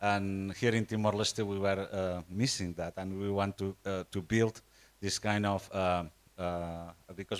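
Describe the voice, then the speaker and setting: With a Catalan accent, a man speaks in a dry, close sound with no echo. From Spain, Catalonia. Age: 60s. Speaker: nonprofit network representative. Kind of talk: conference presentation. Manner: halting, many fillers and repetitions.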